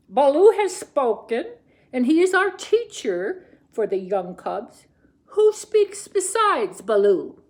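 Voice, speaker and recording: Someone puts on a character voice, speaking fairly slowly at an extremely high pitch. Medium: read story. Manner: solemn, commanding.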